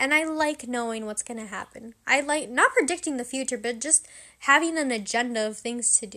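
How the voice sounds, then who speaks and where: A woman's raised, projected voice, high in pitch, with a bright, sharp, animated tone and ordinary pitch variation on a very clean recording with a silent background. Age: 18. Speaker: podcast host. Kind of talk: casual monologue.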